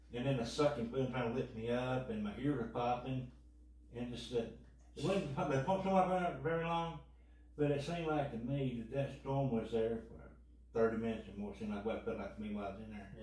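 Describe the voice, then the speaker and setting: Amid noticeable background noise and audible room echo, a speaker with a Kentucky accent talks at a very fast pace with ordinary pitch variation. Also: man, medium pitch for a man. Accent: Kentucky twang. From western Kentucky. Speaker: tornado survivor. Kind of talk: interview testimony.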